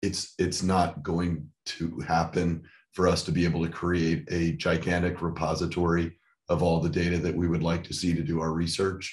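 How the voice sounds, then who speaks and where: Against a quiet background, a man speaks at a moderate pace in a very deep, low voice with monotone, flat intonation. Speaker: researcher. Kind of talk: online meeting discussion. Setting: video call.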